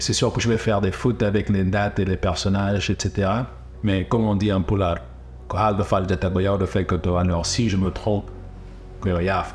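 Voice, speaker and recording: A man with an English accent and a fairly low pitch, ordinary pitch variation, very even loudness, a moderate pace, and music in the background. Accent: English-speaking accent in French. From Guinea (Fouta Djallon), then USA. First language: English (speaking French). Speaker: documentary filmmaker. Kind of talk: documentary narration, storytelling. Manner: halting, repeats words.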